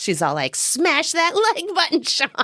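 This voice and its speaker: A female-sounding put-on character voice, extremely high-pitched and playful, delivered at a moderate pace. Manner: demonic, playful.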